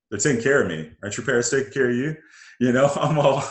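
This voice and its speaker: A man with an American accent talks at a very fast pace, his lively intonation edged with vocal fry. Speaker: interview guest. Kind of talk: casual interview chat.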